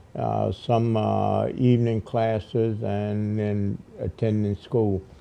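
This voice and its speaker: Very slow speech from a man, against noticeable background noise. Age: 80s+. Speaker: Vietnam-era veteran and college graduate. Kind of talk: interview answer.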